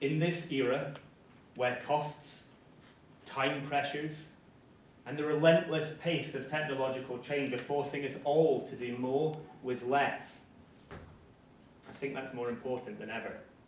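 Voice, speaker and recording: A man's fairly high, monotone voice with flat intonation, a fairly slow pace, long, frequent pauses and big swings in loudness, amid noticeable background noise and audible room echo. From northeast Scotland. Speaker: marketing strategist. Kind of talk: conference talk. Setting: stage with audience. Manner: formal.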